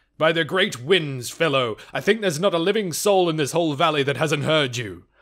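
Using a put-on character voice, a man speaks at a fairly quick pace with fairly high pitch. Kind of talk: eloquent, formal.

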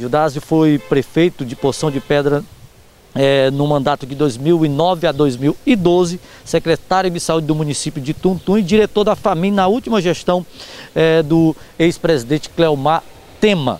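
With ordinary pitch variation and a fairly slow pace, the speech is delivered in an ordinary speaking voice. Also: man, fairly high pitch for a man. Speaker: local TV reporter. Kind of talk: news reading, stand-up report. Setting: local TV broadcast. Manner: direct, friendly address to viewers.

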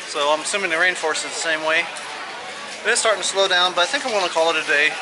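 A man speaks with ordinary pitch variation. There is noticeable background noise behind him. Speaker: vlogger. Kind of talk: casual vlog chat. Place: street. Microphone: phone near.

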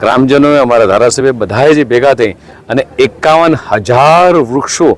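A man talks at a medium pitch with ordinary pitch variation. Noticeable background noise runs underneath. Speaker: state minister. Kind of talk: speech to reporters.

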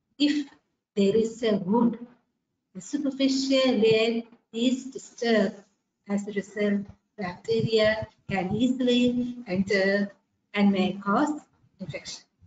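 A somewhat breathy woman's voice at a very slow pace, with long, frequent pauses, ordinary pitch variation, audible room echo and light background noise. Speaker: microbiology teacher. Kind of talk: lecture. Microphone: webcam.

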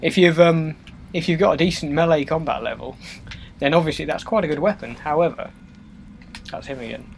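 With noticeable background noise behind him, a man speaks at a very fast pace in a fairly high pitch. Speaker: gaming let's play host. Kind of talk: casual let's play commentary. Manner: casual, rambling, chatty.

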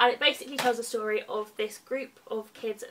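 This woman has an English accent and a fairly high pitch. She talks at a moderate pace over light background noise. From England. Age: 20s. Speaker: book vlogger. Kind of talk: casual monologue. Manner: animated. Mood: cheerful, enthusiastic. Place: home room. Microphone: webcam.

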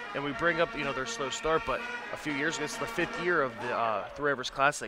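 A man speaks with fairly even intonation in a plain, everyday voice. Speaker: color commentator. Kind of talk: live commentary. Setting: arena broadcast. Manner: uses many fillers.

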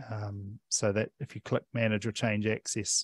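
A man with a New Zealand accent speaks at a fairly low pitch and a fairly slow pace in a monotone, flat intonation. The sound is dry with no echo, and the background is quiet. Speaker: digital library services manager; presenter. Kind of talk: presentation; tutorial. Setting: library talk streamed on Zoom. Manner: many filler sounds (um, uh). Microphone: headset.

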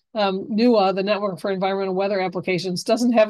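Over a quiet background, a woman talks at a fairly quick pace with a medium pitch and fairly even intonation. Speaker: extension professor, horticulture and pest management; university extension educator. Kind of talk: webinar lecture. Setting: video call webinar. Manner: fast talker. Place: home room. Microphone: webcam.

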